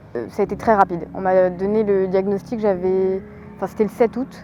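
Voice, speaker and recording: Amid noticeable background noise, a woman speaks at a moderate pace with fairly even intonation. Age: 20s. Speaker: amateur marathon runner and cancer survivor. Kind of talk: interview testimony. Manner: hesitant with many fillers.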